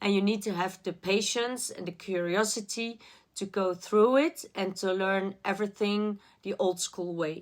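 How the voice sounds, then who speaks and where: In a very clean recording with a silent background, a woman speaks fairly slowly at a medium pitch with fairly even intonation. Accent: non-native. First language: not English. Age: adult. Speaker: art student vlogger. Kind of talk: personal vlog.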